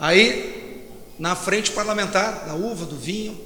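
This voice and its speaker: Recorded with audible room echo and noticeable background noise, a man uses a raised, projected voice at a high pitch with ordinary pitch variation. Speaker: federal congressman. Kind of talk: panel talk. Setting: stage with audience. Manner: halting, repetitive. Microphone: far from mic, loud sound system.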